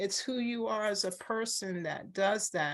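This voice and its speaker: A woman speaks in an ordinary speaking voice at medium pitch with ordinary pitch variation. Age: 60s. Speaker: retired law professor. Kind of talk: oral history interview. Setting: video call.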